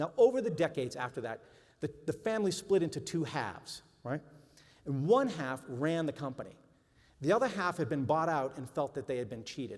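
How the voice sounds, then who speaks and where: Someone with a Boston accent talks fairly quickly, with very wide swings in pitch. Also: man, fairly high pitch for a man. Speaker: journalist and author speaker. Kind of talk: talk to an audience. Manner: conversational.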